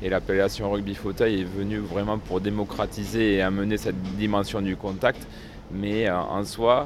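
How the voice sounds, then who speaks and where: Over music in the background, a man speaks at a moderate pace in a fairly low pitch with monotone, flat intonation. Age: 30s. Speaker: wheelchair rugby player. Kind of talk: interview.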